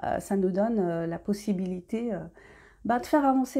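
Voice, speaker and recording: A woman speaks at a moderate pace in a dark, mellow, somewhat breathy tone, with ordinary pitch variation. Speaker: independent novelist. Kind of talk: casual talk to camera. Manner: hesitant, many fillers.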